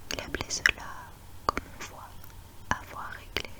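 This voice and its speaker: Someone whispers at a fairly slow pace in a calm tone. Background noise is noticeable. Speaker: ASMR reader. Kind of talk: whispered book reading for sleep (ASMR). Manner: whispered, soft, calm.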